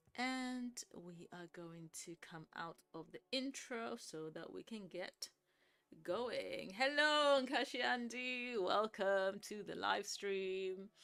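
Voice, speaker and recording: Very slowly and with lively intonation, a woman speaks at a medium pitch in a bright, sharp tone, her loudness swinging widely. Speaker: Sims 4 builder and livestreamer. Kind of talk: casual livestream commentary. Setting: live stream.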